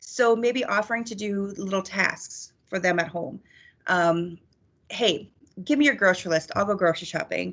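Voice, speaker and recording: This woman has a medium pitch and a normal speaking voice, with ordinary pitch variation. She keeps a moderate pace against a quiet background. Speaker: crisis counselor. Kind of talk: presentation.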